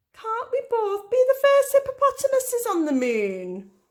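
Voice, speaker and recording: Putting on a character voice, a woman produces a squeaky sound at an extremely high pitch, keeping a moderate pace. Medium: read story.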